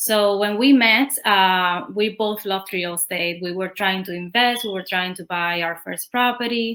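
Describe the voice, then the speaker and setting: In a Spanish accent, a woman speaks with hardly any pauses in a bright, sharp tone, with ordinary pitch variation and big swings in loudness. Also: medium pitch for a woman, moderate pace. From Cuba. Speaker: real estate agent. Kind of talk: interview.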